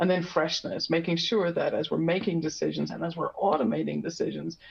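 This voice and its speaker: The speaker talks at a fairly quick pace in an Irish accent. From Ireland. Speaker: industry expert presenter. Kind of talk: webinar presentation. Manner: many filler words and restarts.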